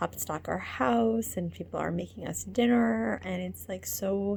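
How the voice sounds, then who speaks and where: A quiet woman's voice at a moderate pace. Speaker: coach teaching stress relief techniques. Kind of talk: casual video diary. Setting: outdoors at night. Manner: hesitant with many fillers.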